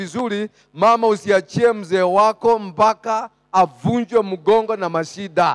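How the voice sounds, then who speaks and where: The background is quiet. A man speaks in a high pitch with fairly even intonation. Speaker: preacher. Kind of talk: sermon. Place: church. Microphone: handheld.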